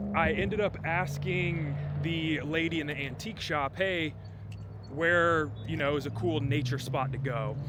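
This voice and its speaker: The speech moves at a fairly slow pace with ordinary pitch variation, and noticeable background noise and audible room echo are present. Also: man, fairly high pitch for a man. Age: 30s. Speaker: travel vlogger. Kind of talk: casual vlog narration. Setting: outdoors and in a car.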